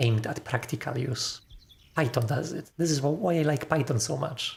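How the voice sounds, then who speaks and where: A somewhat breathy man at a fairly slow pace, with lively intonation. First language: not English. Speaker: programmer live-streamer. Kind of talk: casual chat while live-coding. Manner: halting.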